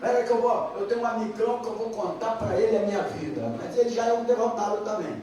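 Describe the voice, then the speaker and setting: Someone speaks at a moderate pace amid noticeable background noise and audible room echo. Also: man. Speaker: Bible teacher. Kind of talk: Bible class. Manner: conversational.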